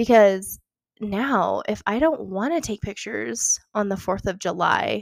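Her medium-pitched voice carries vocal fry at a fairly slow pace, recorded dry and close with no echo and a very clean, silent background. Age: 20s. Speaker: podcast host and photographer. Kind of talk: casual solo podcast monologue. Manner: chatty with frequent fillers and laughs.

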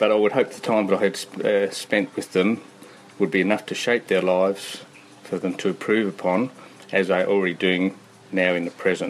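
Using an Australian accent, a man speaks at a moderate pace in a fairly low, monotone, flat voice. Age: 60s. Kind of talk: casual chat. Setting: outdoors.

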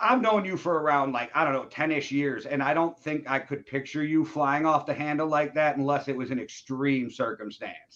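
A man talks in a normal speaking voice at a fairly high pitch with ordinary pitch variation. His pace is moderate, with hardly any pauses. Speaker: podcast host. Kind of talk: casual interview chat. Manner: casual, slangy.

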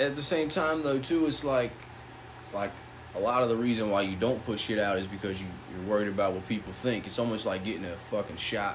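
A man talks at a very fast pace in a fairly low voice. Background noise is noticeable. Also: ordinary pitch variation. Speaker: podcast host. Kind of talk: casual chat. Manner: casual, profane.

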